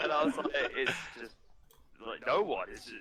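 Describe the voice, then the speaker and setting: A man is talking very fast. Noticeable background noise sits behind him. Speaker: game streamer. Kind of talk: casual chat. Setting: voice call.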